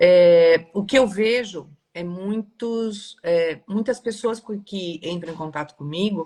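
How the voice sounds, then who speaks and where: Very slow in pace, a woman speaks at a medium pitch with ordinary pitch variation. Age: 60s. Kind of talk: live stream discussion. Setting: live video stream.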